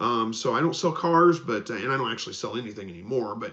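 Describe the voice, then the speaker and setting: Lively intonation marks a man's speech at a very fast pace. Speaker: homesteading channel host. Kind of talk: live stream Q&A. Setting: live broadcast. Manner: salesman-like.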